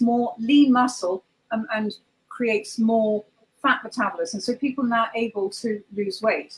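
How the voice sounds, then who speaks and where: A woman with a southern English accent speaks at a fairly high pitch. Her pace is fairly slow and her intonation fairly even. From southwest England. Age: 50s. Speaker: holistic practitioner. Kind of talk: interview.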